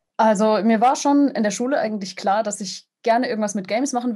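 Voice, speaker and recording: Against a quiet background, a somewhat breathy, dark and mellow voice speaks at a very fast pace with ordinary pitch variation. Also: woman. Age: 20s. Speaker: sound designer and game composer. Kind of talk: interview. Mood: friendly, smiling. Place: home room. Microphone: video call.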